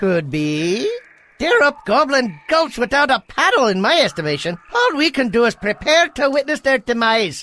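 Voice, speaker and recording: Cartoonish character voice, fairly high in pitch, with very wide pitch swings. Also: moderate pace. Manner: casual, wisecracking.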